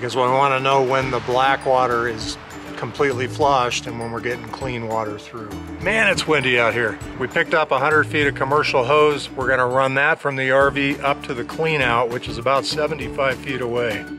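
Clear music plays in the background. The voice moves at a moderate pace with fairly even intonation. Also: man. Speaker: RV owner vlogger. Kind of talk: casual vlog chat. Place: open country. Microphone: phone near.

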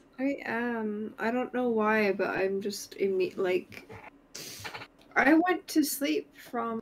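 A woman with a fairly high pitch and lively intonation at a very slow pace, with noticeable background noise. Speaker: streamer. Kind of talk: casual chat. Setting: online voice chat.

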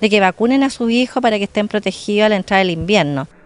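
A woman talks at a fairly quick pace with ordinary pitch variation. The sound is dry, with no echo. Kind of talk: interview answer. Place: street. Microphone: handheld.

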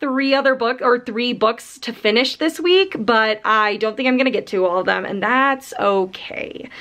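A woman's high voice at a moderate pace with hardly any pauses. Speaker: book vlogger. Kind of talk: casual vlog chat. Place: home room. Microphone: phone near.

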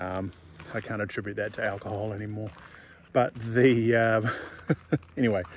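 A man speaks at a fairly quick pace in a fairly low pitch, the sound dry with no echo over light background noise. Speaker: off-grid homesteader vlogger. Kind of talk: casual vlog chat. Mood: relaxed, self-deprecating humor. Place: forest. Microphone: phone near.

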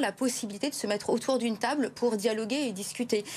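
A woman speaks with ordinary pitch variation. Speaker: guest. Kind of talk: interview answer. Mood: concerned, critical. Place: studio. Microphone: lapel.

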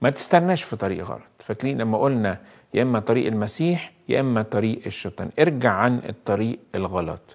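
A man with an Egyptian accent and lively intonation, in a quiet background. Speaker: priest. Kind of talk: live call-in sermon. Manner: warm, conversational. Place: studio. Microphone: lapel.

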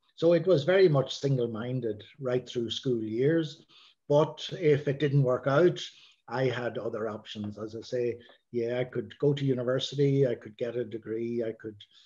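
A man speaks at a moderate pace with a dark, mellow, somewhat breathy tone. His pitch varies in an ordinary way, and the background is quiet. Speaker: interview guest, priest. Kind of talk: interview answer. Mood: calm, reflective. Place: home room. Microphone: video call.

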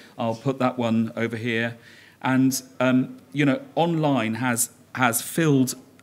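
A man speaks at a fairly slow pace. His intonation stays fairly even. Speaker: conference presenter. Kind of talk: conference talk. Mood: humorous storytelling. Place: hall. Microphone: podium.

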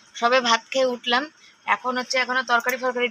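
Her voice is high-pitched, with a bright, sharp tone. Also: dry, close sound with no echo. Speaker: vlogger and homemaker. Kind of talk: casual vlog narration. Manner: loud.

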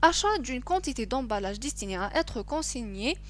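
A woman speaks with an Algerian accent. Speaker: accounting teacher. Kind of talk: screen-recorded lesson.

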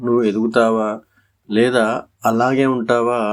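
A man with an ordinary speaking voice, medium pitch and fairly even intonation, in a very clean recording with a silent background. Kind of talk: motivational voice-over.

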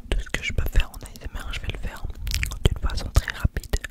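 Amid loud background noise, a man speaks softly. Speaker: ASMR creator. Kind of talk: casual vlog chat. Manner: soft close-mic ASMR speech. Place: home room. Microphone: studio mic.

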